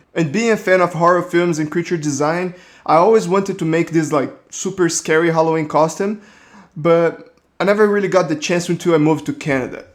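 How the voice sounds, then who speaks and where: On a very clean recording with a silent background, a man with a Brazilian accent speaks fairly quickly in a high pitch. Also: ordinary pitch variation. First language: Portuguese. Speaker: 3D artist. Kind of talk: casual narration.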